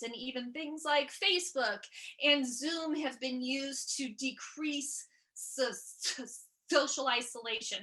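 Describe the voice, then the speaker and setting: A raised, projected, high-pitched woman's voice in an American accent, bright and sharp in tone, with fairly even intonation. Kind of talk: stand-up style keynote talk. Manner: halting, with repeated syllables.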